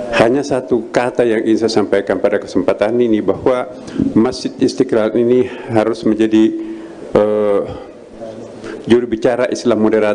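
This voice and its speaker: At a moderate pace, a man speaks in a flat monotone with very even loudness and long, frequent pauses, over light background noise. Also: medium pitch for a man. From Indonesia. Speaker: grand imam. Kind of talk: welcome speech. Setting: mosque seminar with audience. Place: hall. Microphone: handheld.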